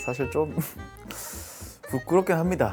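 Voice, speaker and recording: A man's voice over background music. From Busan, South Korea. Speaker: singer and talk show host. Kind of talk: show opening to camera.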